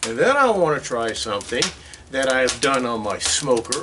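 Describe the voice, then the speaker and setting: A man's voice amid noticeable background noise. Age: 70s. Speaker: home DIY builder and cook. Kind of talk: casual tutorial. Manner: casual, halting with fillers.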